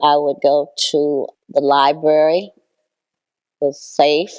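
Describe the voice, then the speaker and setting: A woman's very deep, low voice with an American accent, dark and mellow in tone, in a flat monotone. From Toledo, Ohio, US Midwest. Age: 80s+. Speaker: longtime community resident. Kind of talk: personal recollection interview.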